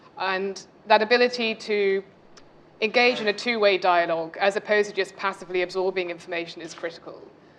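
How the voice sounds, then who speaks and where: Fairly quick speech from a woman with a British accent, medium pitch and fairly even intonation. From UK. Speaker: MBA student panelist. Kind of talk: panel discussion.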